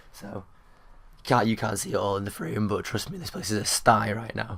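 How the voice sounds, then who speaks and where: In a British accent, a man talks at a very fast pace. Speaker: vlogger and gamer. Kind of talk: casual talk to camera.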